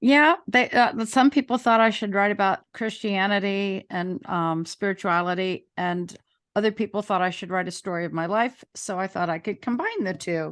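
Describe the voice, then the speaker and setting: Over a quiet background, a woman with an American accent uses an ordinary speaking voice at a medium pitch, keeping a moderate pace with ordinary pitch variation and hardly any pauses. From Maryland, Montgomery County. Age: 60s. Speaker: author and school teacher. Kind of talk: interview.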